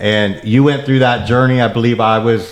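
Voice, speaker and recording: With fairly even intonation, a man speaks at a fairly quick pace over noticeable background noise. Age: 50s. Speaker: podcast host. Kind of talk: podcast interview.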